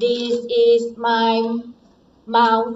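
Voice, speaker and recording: Putting on a robotic character voice, a woman speaks very slowly at a fairly high pitch, with light background noise. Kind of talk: classroom demonstration, robot voice. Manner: stilted, simple.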